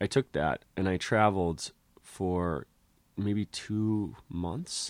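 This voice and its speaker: A man talks with a very deep, low pitch and lively intonation. The sound is dry and close, with no echo. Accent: American. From Connecticut, US. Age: 30s. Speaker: clown and physical theater artist. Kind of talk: casual chat. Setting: in his bedroom.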